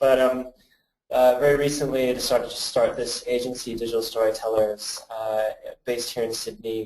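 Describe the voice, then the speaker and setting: At a fairly quick pace, a man with a Canadian accent speaks in a monotone, flat intonation. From Canada. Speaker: creative agency director and presenter. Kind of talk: webinar presentation. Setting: badly lit room, video webinar. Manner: casual, many filler words.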